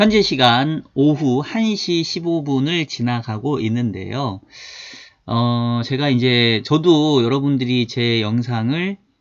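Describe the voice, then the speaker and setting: A man with lively intonation speaks at a medium pitch and a very slow pace. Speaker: finance YouTuber and market analyst. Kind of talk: casual market commentary. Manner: informal, occasional dialect slips.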